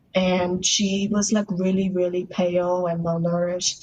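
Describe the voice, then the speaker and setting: The speaker is a woman with an American accent. There is a somewhat breathy quality to her voice. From Russia, adopted to US as young child. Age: 20s. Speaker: adoptee sharing her story. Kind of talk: podcast interview. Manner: casual, lots of filler words.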